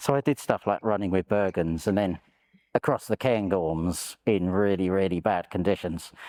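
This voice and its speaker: With a London accent, a man speaks at a moderate pace in a very deep, low pitch, his tone dark and mellow, the sound dry and close with no echo over a quiet background. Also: ordinary pitch variation. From London, England. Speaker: war veteran. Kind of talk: interview testimony.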